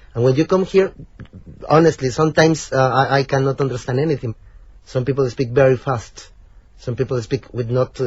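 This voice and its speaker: A somewhat breathy man with a Spanish accent, medium in pitch, at a moderate pace with ordinary pitch variation. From Mexico. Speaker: PhD student. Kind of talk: interview. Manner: halting.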